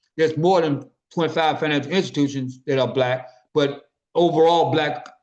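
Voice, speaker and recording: A man with a Memphis accent, speaking at a fairly quick pace. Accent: Southern US (Memphis) English. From US South. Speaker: business network organizer. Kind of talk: business meeting presentation. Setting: conference call. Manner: fast.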